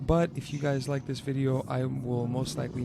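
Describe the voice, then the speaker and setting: A medium-pitched man at a moderate pace with fairly even intonation, over noticeable background noise. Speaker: car enthusiast. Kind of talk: casual car review voiceover.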